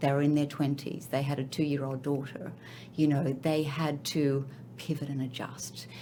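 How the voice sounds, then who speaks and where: Heard with audible room echo, a woman with an Australian accent speaks at a very deep, low pitch. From Australia, Sydney. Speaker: finance and accounting executive. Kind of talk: interview podcast.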